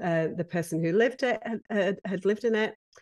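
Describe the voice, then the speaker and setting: Against a quiet background, a woman with a British accent talks at a fairly quick pace with ordinary pitch variation. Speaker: professional home organizer. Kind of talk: interview.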